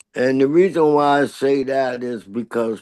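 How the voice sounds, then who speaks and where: With an American accent and a normal speaking voice, a man speaks at a fairly slow pace in a medium pitch with ordinary pitch variation over a quiet background. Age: 60s. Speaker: pioneer street dancer. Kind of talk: interview.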